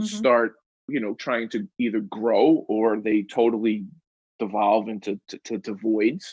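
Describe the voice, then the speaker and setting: A man speaks with a New York accent. His intonation is monotone and flat. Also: medium pitch for a man, fairly slow pace. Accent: New York City. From Queens, New York City. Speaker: New York real estate expert and content creator. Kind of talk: podcast interview answer. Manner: candid, unfiltered.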